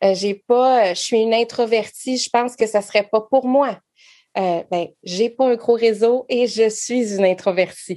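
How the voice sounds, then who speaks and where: Her dark, mellow tone sits at a fairly high pitch as a woman speaks at a fairly slow pace with fairly even intonation. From Quebec. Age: 40s. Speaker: network marketing entrepreneur. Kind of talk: casual interview.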